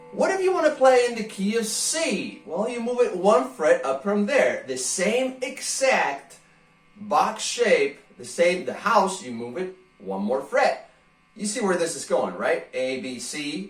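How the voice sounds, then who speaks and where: With music in the background, the voice moves at a fairly slow pace in an animated tone, with very wide pitch swings and big swings in loudness. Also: man, high pitch for a man. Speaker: guitar teacher. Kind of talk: tutorial.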